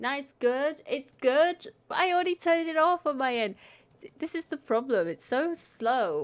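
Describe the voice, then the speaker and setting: At a moderate pace, a woman with a high pitch speaks with lively intonation. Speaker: streamer. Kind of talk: casual live stream chat. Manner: casual, hesitant.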